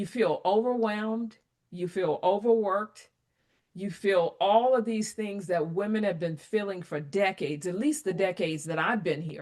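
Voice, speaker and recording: Her pitch is medium, with ordinary variation. The woman keeps a moderate pace. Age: 60s. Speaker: applied AI advisor. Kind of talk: interview conversation. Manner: animated.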